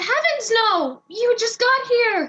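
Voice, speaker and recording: A woman uses a squeaky, put-on character voice at an extremely high pitch. Her intonation is lively. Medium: stage play. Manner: brash, eager.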